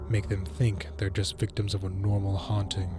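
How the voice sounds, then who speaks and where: Music plays in the background behind a man. His very deep, low voice shows ordinary pitch variation. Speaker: narrator. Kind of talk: horror story narration.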